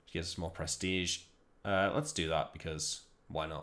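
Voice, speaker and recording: A man's very deep, low voice with a Liverpool accent, flat and monotone at a moderate pace, on a very clean recording with a silent background. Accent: Liverpool (Scouse). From northern England, Liverpool. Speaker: video game streamer. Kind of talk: gameplay commentary.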